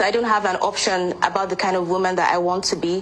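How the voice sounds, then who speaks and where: Noticeable background noise fills the clip. Through it, a woman's voice comes across. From Nigeria, Anambra State. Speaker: pageant queen and lawyer. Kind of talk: interview.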